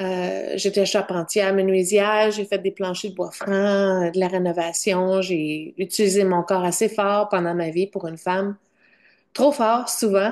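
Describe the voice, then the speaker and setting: The speaker goes at a fairly slow pace with fairly even intonation. The background is quiet. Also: woman, medium pitch for a woman. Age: 50s. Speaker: vlogger sharing diet experience. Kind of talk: personal testimony vlog. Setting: at home in front of computer. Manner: halting, searching for words.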